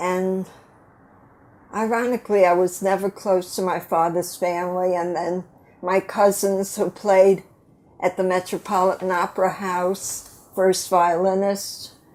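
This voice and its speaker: In a very clean recording with a silent background, a woman with an American accent speaks at medium pitch. Her intonation is monotone and flat, and her pace is fairly slow. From US Northeast, New York. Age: 80s+. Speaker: grandmother. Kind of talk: casual chat.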